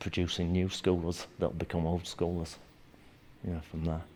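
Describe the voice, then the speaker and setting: A man with a Yorkshire accent, very deep and low in pitch, in monotone, flat intonation. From northern England, Leeds, Yorkshire. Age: 60s. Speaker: martial arts instructor. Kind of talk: documentary interview. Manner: casual, halting with fillers.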